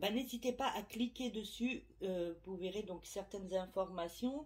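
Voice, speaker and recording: A woman's somewhat breathy, medium-pitched voice, fairly slow, with ordinary pitch variation. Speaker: medium / tarot reader. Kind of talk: casual vlog to subscribers. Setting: at home, window open. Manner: hesitant, many fillers.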